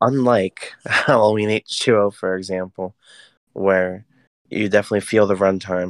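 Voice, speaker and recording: The speech moves at a fairly slow pace with fairly even intonation. It is an ordinary speaking voice. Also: man, fairly low pitch for a man. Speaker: horror movie podcast co-host. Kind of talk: casual chat.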